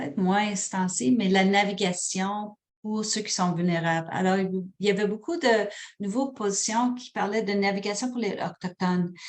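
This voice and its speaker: A woman speaks with an English accent. Her pitch is medium. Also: ordinary pitch variation, moderate pace. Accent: anglicized French, from working in English. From Quebec, Sherbrooke. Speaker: hospital program manager, webinar presenter. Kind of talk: webinar presentation and Q&A. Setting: online webinar. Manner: hesitant, many fillers.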